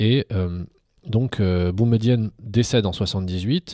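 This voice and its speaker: Dark and mellow in tone, a man's voice comes through dry and close with no echo on a very clean recording with a silent background. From Algeria, then Paris suburbs. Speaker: philosophy teacher and local politician. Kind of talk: casual interview.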